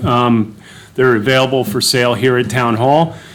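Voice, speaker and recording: Amid noticeable background noise and audible room echo, a man with a medium pitch speaks at a moderate pace. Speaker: township official. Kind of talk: public meeting report.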